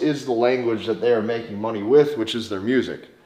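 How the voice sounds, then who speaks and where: Over noticeable background noise, a man with an American accent talks at a fairly quick pace and a medium pitch. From US Midwest, North Dakota. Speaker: dating coach. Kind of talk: online course lecture.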